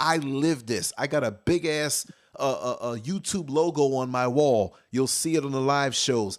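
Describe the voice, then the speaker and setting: His pitch fairly high, a man speaks with ordinary pitch variation. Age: 50s. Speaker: internet radio show host. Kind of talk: casual chat. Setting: home studio. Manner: loud.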